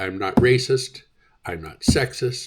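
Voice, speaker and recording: The speech goes at a very slow pace. There is a somewhat breathy quality to the voice. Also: man. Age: 60s. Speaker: vlogger. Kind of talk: opinion rant. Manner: animated.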